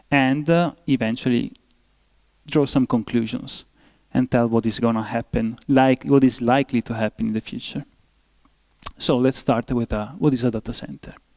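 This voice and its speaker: A man at medium pitch with fairly even intonation, a moderate pace and long, frequent pauses in a dry, close sound with no echo. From Italy. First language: Italian. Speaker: professor. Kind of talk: lecture. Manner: halting, many fillers.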